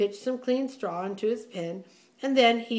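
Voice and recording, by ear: A natural voice, reading aloud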